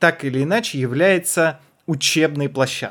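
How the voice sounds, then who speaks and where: On a very clean recording with a silent background, a man with a fairly high pitch speaks with lively intonation. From Kazakhstan. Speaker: podcast co-host, comedian. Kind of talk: casual chat.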